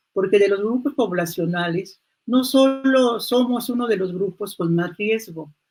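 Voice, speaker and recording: A somewhat breathy woman's voice at medium pitch, fairly slow in pace, with ordinary pitch variation. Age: 70s. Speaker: human rights activist. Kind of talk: panel talk.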